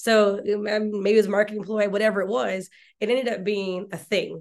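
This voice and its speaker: A woman with a plain, everyday voice and an American accent speaks at a fairly quick pace and medium pitch. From Mississippi, US South. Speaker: talent acquisition executive. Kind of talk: casual interview.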